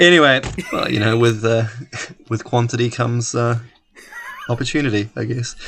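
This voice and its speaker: A man at a medium pitch with a slight New Zealand accent, fairly even intonation, and long, frequent pauses. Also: moderate pace. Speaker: podcast co-host. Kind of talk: casual chat.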